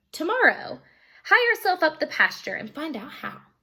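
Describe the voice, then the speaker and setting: A woman's put-on character voice, extremely high-pitched, with very wide pitch swings at a moderate pace. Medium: read story.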